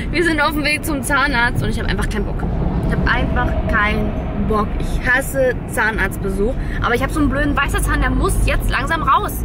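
Music plays in the background as a woman talks at a moderate pace. The sound is dry with no echo. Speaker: family vlogger. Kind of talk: casual vlog chat. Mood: reluctant, playful about dentist. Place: car. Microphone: phone near.

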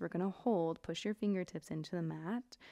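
Calm and dark, mellow in tone, a woman speaks at a moderate pace. Her pitch varies in an ordinary way against a quiet background. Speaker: yoga instructor. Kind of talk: guided yoga class, cueing poses and breath. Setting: home studio, online video class. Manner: relaxed, upbeat and chatty; calm, rhythmic cueing with short breath-paced commands. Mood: calm, gentle, encouraging. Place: home room.

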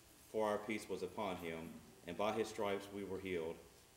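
Over light background noise and audible room echo, a man speaks at a moderate pace, his fairly low voice carrying fairly even intonation. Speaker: preacher. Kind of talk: scripture reading in a sermon. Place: church.

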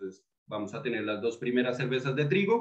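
The setting is quiet. A man talks. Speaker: beer tasting host. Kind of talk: tutorial. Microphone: webcam.

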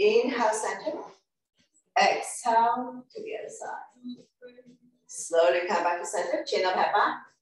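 In a room with audible echo, a woman speaks at a fairly slow pace. Her pitch is high and her loudness swings a lot. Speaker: fitness instructor. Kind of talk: exercise class instruction. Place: home room. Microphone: camera far.

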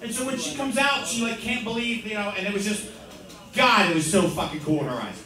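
A man's raised, projected voice at a very fast pace, with audible room echo and light background noise. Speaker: open mic comedian. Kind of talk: stand-up comedy set. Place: bar.

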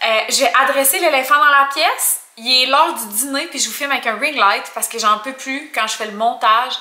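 A woman's raised, projected voice moves at a moderate pace with hardly any pauses and big swings in loudness. Her pitch varies in an ordinary way, and audible room echo surrounds her. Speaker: vlogger. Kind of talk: casual vlog chat. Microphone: phone near.

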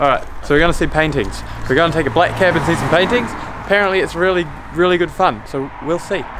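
With a New Zealand accent and a high pitch, a man talks very fast with ordinary pitch variation over noticeable background noise. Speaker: travel vlogger. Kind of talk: casual vlog chat. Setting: outdoors and in a taxi. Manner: animated. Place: street.

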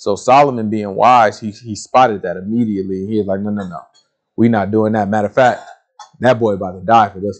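A man speaks at a fairly quick pace with fairly even intonation and a fairly low pitch. His loudness swings widely against a quiet background. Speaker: Bible teacher. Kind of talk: sermon. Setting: video recording. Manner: casual. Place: studio.

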